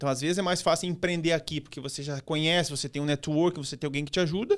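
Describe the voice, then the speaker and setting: Over a silent background in a very clean recording, a man speaks very fast at a fairly high pitch with fairly even intonation. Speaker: digital strategist and author. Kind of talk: podcast interview.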